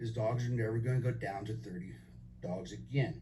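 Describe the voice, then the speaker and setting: A man at a fairly quick pace, fairly low pitched with vocal fry, amid audible room echo. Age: 60s. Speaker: resident giving public comment. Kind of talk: public hearing testimony. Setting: public meeting.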